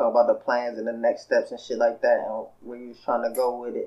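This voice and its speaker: A man is speaking. His pace is fairly quick. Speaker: podcast co-host. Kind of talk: casual chat.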